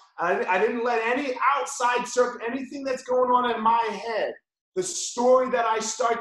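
With an animated tone and an extremely high voice, a man speaks at a fairly slow pace amid audible room echo. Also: quiet background. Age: 40s. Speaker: jiu-jitsu instructor. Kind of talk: tutorial; live online class instruction and motivational talk. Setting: video call. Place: gym. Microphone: video call.

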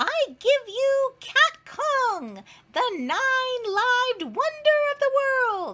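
A put-on character voice, squeaky and extremely high in pitch, drags along at a very slow pace. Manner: showy, proud announcement.

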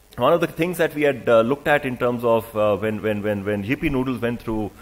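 Ordinary pitch variation is heard. The speech moves at a fairly quick pace. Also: man.

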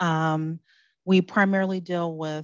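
A soft-spoken woman talks at a fairly slow pace and fairly low pitch, with little pitch movement and a dry, close sound with no echo.

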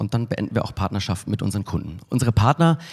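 A man's somewhat breathy voice with lively intonation against a quiet background. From Munich, Bavaria (southern Germany). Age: 40s. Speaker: advertising agency executive, keynote speaker; keynote speaker. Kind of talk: conference keynote. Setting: stage with audience. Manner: casual with frequent filler sounds. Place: hall. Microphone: handheld.

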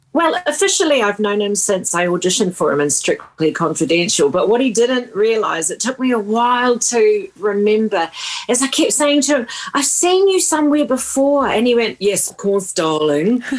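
A woman's fairly high voice with very wide pitch swings, at a moderate pace over noticeable background noise. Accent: New Zealand. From New Zealand, small town. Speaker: singer-songwriter. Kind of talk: radio interview. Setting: remote radio interview.

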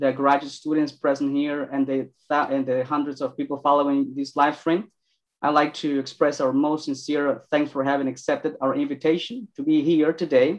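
In a Spanish accent, the speaker talks at a moderate pace with monotone, flat intonation over a quiet background. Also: man. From Mexico. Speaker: PhD student moderating a lecture; event host, moderator. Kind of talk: event moderation and Q&A. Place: office. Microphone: video call.

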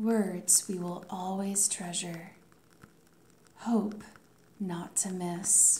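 Soft-spoken and very slow, the voice keeps a monotone, flat intonation over light background noise. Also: woman. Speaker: ASMR creator, life coach. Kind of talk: poetry reading. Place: home room.

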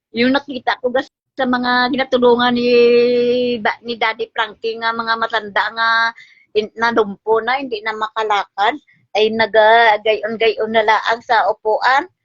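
A woman's fairly high voice at a fairly slow pace, monotone and flat, with a dry, close sound with no echo and music in the background. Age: 60s. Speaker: mother appealing for help. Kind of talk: tearful appeal.

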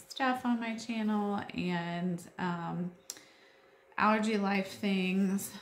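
With audible room echo and light background noise, a woman speaks in a somewhat breathy voice with ordinary pitch variation. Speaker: homeschool mom vlogger. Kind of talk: casual vlog chat. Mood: friendly, lighthearted. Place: home room. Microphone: phone near.

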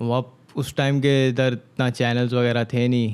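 The speech moves at a fairly slow pace with monotone, flat intonation. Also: man. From Karachi, Pakistan. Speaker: rapper; podcast guest. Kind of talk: casual interview. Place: studio. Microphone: studio mic.

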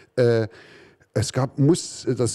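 A man speaks at a medium pitch, somewhat breathy. His tone is dark and mellow against a quiet background. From East Germany. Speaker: artist and musician; talk show guest. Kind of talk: interview; interview answer. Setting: basement venue. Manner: halting. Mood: dry, ironic, calm. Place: stage. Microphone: handheld.

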